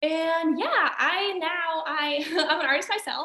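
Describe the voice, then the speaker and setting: Her voice is raised and projected. The speaker is a woman. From Austria. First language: German. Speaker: singer-songwriter and actress. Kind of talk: casual interview.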